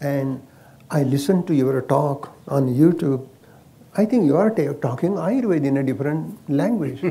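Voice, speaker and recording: The tone is dark, mellow and somewhat breathy. Pitch varies in an ordinary way at a moderate pace. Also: man, fairly high pitch for a man. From India, Maharashtra. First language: Marathi. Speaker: Ayurvedic doctor. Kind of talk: casual chat. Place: garden. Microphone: lapel.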